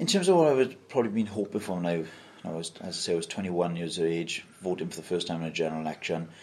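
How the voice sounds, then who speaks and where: In a South Wales accent, a man speaks very fast in a very deep, low voice with ordinary pitch variation. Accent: South Wales valleys. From Wales, Mountain Ash (South Wales valleys). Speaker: council leader, politician. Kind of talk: interview.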